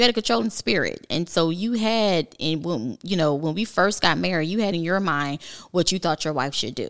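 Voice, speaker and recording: With an unremarkable speaking voice, a woman talks fairly quickly at a fairly low pitch, her intonation lively. The recording is very clean, with a silent background. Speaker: host's wife. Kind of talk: casual chat.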